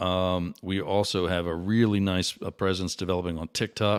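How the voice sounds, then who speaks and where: This man's very deep, low voice stays monotone and flat at a moderate pace. The recording is very clean, with a silent background. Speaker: day trader and show host. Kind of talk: unscripted livestream commentary. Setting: live stream. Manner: halting, stutters and repeats words; many filler words.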